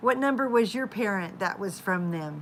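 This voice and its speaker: A woman speaks with an American accent at a medium pitch. Her tone is bright and sharp, with ordinary pitch variation. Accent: southern drawl, comes back at times. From Oklahoma. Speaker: live-stream vlogger, mother of a large family. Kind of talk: casual chat. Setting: live stream at home. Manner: chatty.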